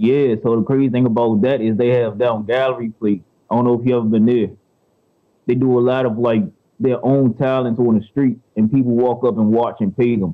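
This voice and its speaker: Speaking in a plain, everyday voice, a man talks at a moderate pace and medium pitch, with fairly even intonation. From Washington DC and Prince George's County, Maryland. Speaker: rapper. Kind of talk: interview.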